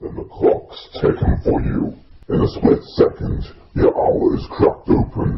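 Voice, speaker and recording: A man puts on a raspy character voice at an extremely high pitch, speaking at a moderate pace. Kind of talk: horror film character impression. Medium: voice reel. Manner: slow, calm, menacing.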